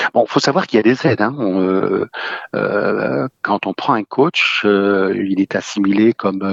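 Very slow speech comes from a man with a fairly low pitch. The sound is dry and close, with no echo. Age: 70s. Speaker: caller. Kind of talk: casual chat.

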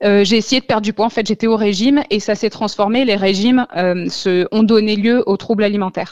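An unremarkable speaking voice at a fairly quick pace, with very even loudness, fairly even intonation and a dry, close sound with no echo. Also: woman, fairly high pitch for a woman. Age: 30s. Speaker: author recovered from eating disorders. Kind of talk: radio interview, personal testimony.

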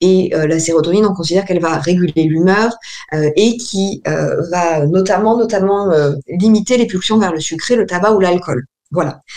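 This woman has a plain, everyday voice at a medium pitch, speaking at a moderate pace with very even loudness and ordinary pitch variation. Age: 30s. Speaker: naturopath. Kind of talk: radio interview. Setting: remote call with camera. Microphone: poor remote audio.

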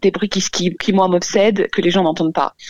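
Recorded dry and close with no echo, a woman at a medium pitch speaks over noticeable background noise. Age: 30s. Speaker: caller. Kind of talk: personal testimony. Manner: hesitant.

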